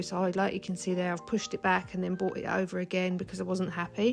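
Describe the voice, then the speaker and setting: Music plays in the background as a woman talks. Her pitch is medium and her pace very fast. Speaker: nail technician. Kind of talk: tutorial voiceover.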